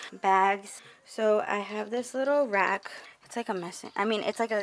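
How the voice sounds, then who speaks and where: Light background noise sits beneath a woman's speech. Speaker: vlogger. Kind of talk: casual vlog chat. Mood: relaxed, casual. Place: home room. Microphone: phone near.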